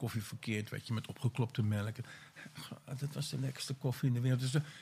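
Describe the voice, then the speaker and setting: The man speaks at a very fast pace and medium pitch. His voice is somewhat breathy, with fairly even intonation. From Netherlands, Vinkeveen. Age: 50s. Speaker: former addict. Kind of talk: casual interview. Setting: portable recorder in a former weed plantation.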